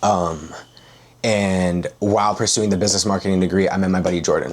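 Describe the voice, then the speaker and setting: Very deep and low, this man's voice stays monotone and flat. He moves at a fairly quick pace. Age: 20s. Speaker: high-ticket sales closer. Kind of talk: interview. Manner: casual, filler-heavy.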